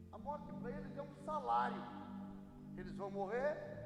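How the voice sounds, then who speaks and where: Noticeable background noise and audible room echo surround a man speaking at a fairly slow pace. His pitch is high. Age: 60s. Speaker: pastor. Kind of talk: sermon.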